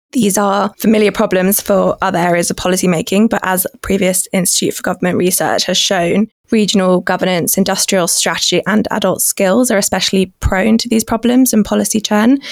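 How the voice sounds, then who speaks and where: With a British accent, a woman talks fairly quickly at a medium pitch. Her intonation is fairly even, and the sound is dry and close with no echo. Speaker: policy researcher. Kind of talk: expert interview.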